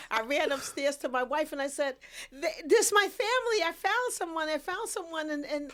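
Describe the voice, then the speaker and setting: Her extremely high voice swings very widely in pitch as this woman talks at a moderate pace. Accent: New York. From New York City (Queens). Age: 60s. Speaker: podcast guest, photographer and author. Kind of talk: casual interview chat. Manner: emotional, halting with repetitions.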